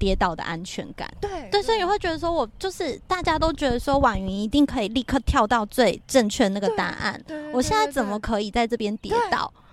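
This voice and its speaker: Against noticeable background noise, a woman speaks fairly quickly with hardly any pauses. Her high voice makes very wide pitch swings. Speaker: podcast co-host. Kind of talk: casual chat. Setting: windy rooftop balcony at her home.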